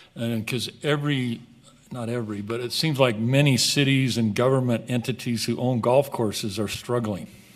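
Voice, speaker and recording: Speaking with ordinary pitch variation and at a moderate pace, this is an ordinary speaking voice. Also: man, medium pitch for a man. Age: 60s. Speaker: golf course business partner. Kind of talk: council meeting presentation. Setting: city council meeting.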